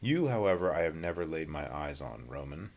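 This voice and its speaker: A man's put-on character voice, very deep and low in pitch, fairly quick, with lively intonation. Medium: read story. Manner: calm but forceful.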